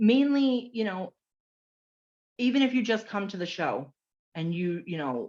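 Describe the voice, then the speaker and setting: A loud, animated voice at a fairly slow pace, with very wide pitch swings and long, frequent pauses. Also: woman, medium pitch for a woman, quiet background. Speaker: direct sales consultant. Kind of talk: casual chat.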